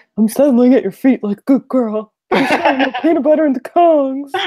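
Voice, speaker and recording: Someone puts on a character voice at a high pitch, speaking at a moderate pace. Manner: playful, settling in.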